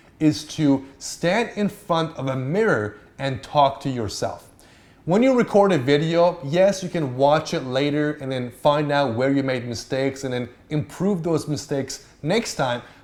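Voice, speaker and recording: The voice has an animated tone and lively intonation. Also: man. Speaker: YouTuber giving on-camera tips. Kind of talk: tutorial.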